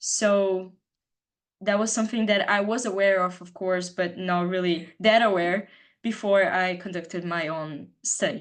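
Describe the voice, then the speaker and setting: Over a quiet background, a woman with a Brazilian Portuguese accent speaks at a medium pitch and a fairly slow pace, with fairly even intonation. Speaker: student presenter. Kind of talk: presentation.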